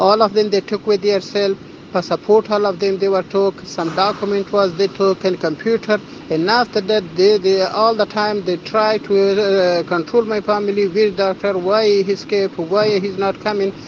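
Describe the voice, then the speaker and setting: A man's high-pitched voice with an Afghan accent, monotone, flat intonation, and noticeable background noise. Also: moderate pace. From Afghanistan. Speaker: refugee doctor. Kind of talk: testimony. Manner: halting.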